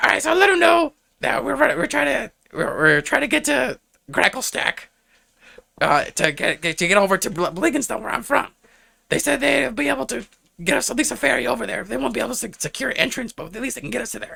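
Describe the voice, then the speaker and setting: A raspy, high-pitched put-on character voice from a man at a very fast pace. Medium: actual play. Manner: casual, rambling.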